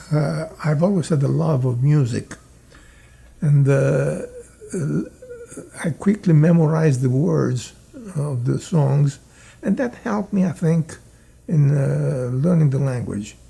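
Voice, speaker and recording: A man with a slight Italian accent speaks at a fairly slow pace in a fairly high pitch, with ordinary pitch variation and long, frequent pauses. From Italy. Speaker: immigrant telling life story. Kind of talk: interview reminiscence. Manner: halting, many fillers.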